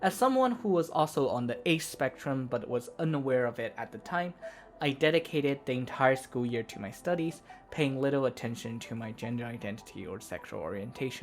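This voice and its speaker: Over music in the background, someone with a non-native accent speaks at a fairly quick pace. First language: not English. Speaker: vtuber video essayist. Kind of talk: scripted narration. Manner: formal.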